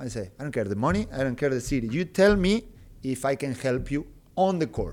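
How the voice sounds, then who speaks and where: Here a man speaks with a Spanish accent at a medium pitch. His delivery is fairly quick, with lively intonation. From Argentina, Rio Tercero. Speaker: basketball coach, former player. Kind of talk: interview. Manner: halting, with many fillers and repetitions.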